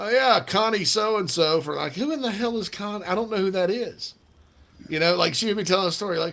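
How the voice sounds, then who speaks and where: Talking at a very fast pace, a man with a Southern US accent sounds animated, his pitch high. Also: ordinary pitch variation. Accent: Southern accent, noticeable on the phone. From South Carolina. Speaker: sports radio host. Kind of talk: casual chat.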